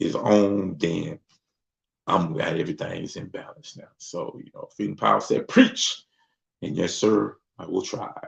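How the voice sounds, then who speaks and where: A man at a moderate pace. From US South, Mississippi. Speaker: livestream host. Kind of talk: casual livestream chat. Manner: relaxed, conversational.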